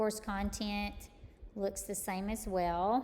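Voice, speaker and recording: A woman with an East Texas accent at a medium pitch, very slow pace and monotone, flat intonation. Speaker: college math instructor. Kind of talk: tutorial. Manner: casual, with many fillers.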